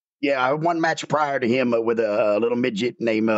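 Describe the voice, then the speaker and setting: The man talks in a Southern US accent, his pitch sitting in the medium range. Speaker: former pro wrestler. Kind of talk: casual interview. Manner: loud, projecting.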